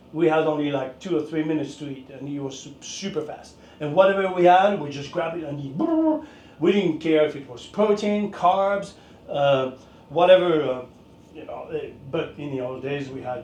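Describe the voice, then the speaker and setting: A man with a fairly high pitch and ordinary pitch variation talks at a moderate pace, with big swings in loudness. Audible room echo and noticeable background noise are present. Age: 60s. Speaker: fitness and martial arts instructor. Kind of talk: casual talk to camera. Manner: halting, many fillers.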